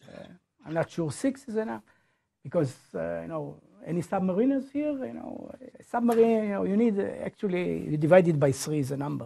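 A man speaks at a high pitch with very wide pitch swings and big swings in loudness, in a dark, mellow tone. His pace is fairly quick, and the background is quiet. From Israel. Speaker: professor. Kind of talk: lecture. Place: classroom.

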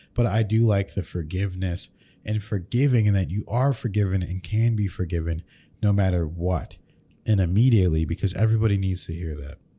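Somewhat breathy and very deep and low in pitch, a man talks at a fairly quick pace with ordinary pitch variation. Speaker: podcast host. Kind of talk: reaction commentary. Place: studio. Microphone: studio mic.

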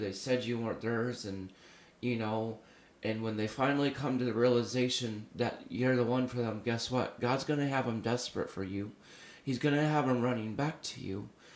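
A man talks at a moderate pace with medium pitch and fairly even intonation. There is audible room echo. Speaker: prophetic minister. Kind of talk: prophetic sermon to camera. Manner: conversational, filler-heavy.

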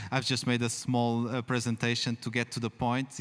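A man with a Portuguese accent, at a moderate pace, in a monotone, flat intonation. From Portugal. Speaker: festival panel moderator. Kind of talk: moderated literary panel discussion. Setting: stage with live audience. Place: tent. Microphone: handheld.

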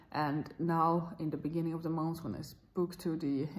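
Woman's very deep, low voice at a moderate pace. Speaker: vlogger. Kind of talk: casual vlog chat. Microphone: phone near.

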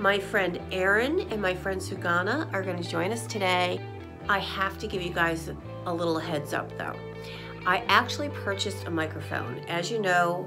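Clear music plays in the background while a woman speaks at a moderate pace. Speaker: photography vlogger. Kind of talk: casual vlog chat.

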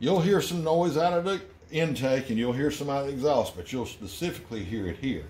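A man speaks fairly quickly in a dark, mellow tone that is somewhat breathy. His pitch swings very widely. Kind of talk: tutorial. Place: garage. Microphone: phone near.

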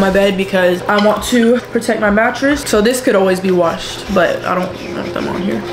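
Moderate pace and hardly any pauses from a woman with fairly even intonation, over noticeable background noise. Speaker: lifestyle vlogger. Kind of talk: casual vlog chat. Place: home room. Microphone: camera far.

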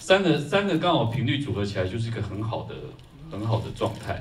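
An unremarkable speaking voice with lively intonation moves at a fairly quick pace over light background noise. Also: man. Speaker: film composer. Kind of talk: post-screening Q&A. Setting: stage with audience. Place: hall.

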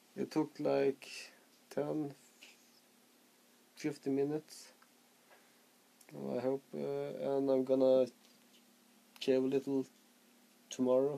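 A man with a Swedish accent, at a very slow pace with long, frequent pauses. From Sweden, Skellefteå; Sweden. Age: 30s. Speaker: vaping vlogger. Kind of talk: casual vlog. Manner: halting, stuttering. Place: home room. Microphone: phone near.

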